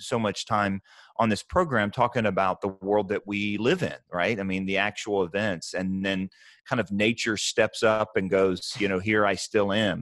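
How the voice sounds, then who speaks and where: The speaker keeps a moderate pace with monotone, flat intonation. The sound is dry with no echo, over a quiet background. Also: man. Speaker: podcast co-host. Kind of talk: podcast discussion. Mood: earnest, reflective. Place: home room. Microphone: earbuds.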